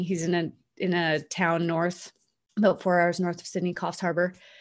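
A woman with a plain, everyday voice speaks at a moderate pace and a fairly low pitch. The background is quiet. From Canada. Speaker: NLP coach and author. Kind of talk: interview storytelling.

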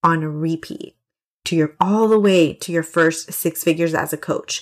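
A woman with a fairly low pitch and an animated tone, at a moderate pace. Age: 20s. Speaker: business coach, podcast host. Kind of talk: solo podcast monologue; sales pitch.

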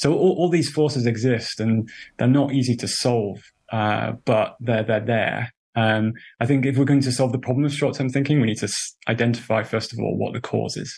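A man speaks at a moderate pace with a medium pitch, fairly even intonation and a somewhat breathy sound. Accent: British. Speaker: journalist and author. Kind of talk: interview.

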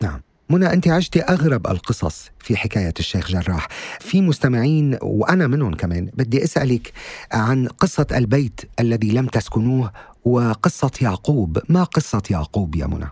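Somewhat breathy and at a fairly slow pace, a man speaks at medium pitch with very wide pitch swings, in a very clean recording with a silent background. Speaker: podcast host. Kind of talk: interview. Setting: studio. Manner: formal.

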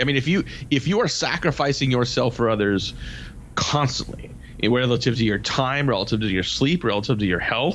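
A man talks at a moderate pace with a medium pitch. Noticeable background noise sits behind him. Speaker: sales radio show host. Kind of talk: casual chat. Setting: his office.

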